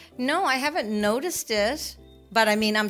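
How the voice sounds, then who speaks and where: There is music in the background as a woman talks. Her pitch is fairly high, with a Canadian accent. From Canada. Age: 60s. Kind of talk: interview answer.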